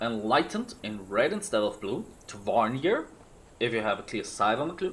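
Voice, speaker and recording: A man with a German accent talks at a fairly slow pace and medium pitch, with lively intonation. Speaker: streamer and former esports caster. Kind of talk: livestream monologue. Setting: livestream. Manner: halting.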